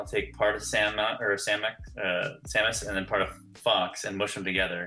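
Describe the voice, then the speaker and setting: The speaker has an American accent. Noticeable background noise is present. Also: man. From California. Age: 30s. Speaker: filmmaker. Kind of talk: podcast interview. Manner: hesitant, many fillers.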